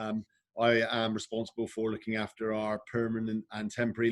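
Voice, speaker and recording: Speaking with a Bristol accent, a man keeps a medium pitch and a moderate pace. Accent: regional Bristol. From England, Bristol. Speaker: recruitment director. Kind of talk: webinar panel. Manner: hesitant, many fillers.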